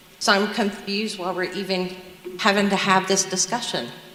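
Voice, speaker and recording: A woman speaks in an American accent. Noticeable background noise and audible room echo fill the recording. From US South, South Carolina. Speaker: nurse, public commenter. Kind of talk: public comment at school board meeting.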